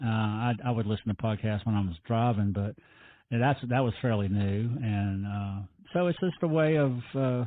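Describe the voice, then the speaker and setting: With a Virginia accent, a man talks at a moderate pace and medium pitch, showing ordinary pitch variation and very even loudness. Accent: Southern US (Virginia). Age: 60s. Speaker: salvage business owner and TV personality. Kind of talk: interview conversation. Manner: halting, many repetitions.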